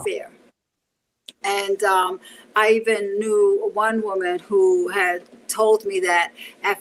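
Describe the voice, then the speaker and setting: A woman with a New York accent, fairly high pitch, lively intonation and a bright, sharp tone. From Bronx, New York City. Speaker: martial artist and self-defense teacher. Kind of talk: interview answer.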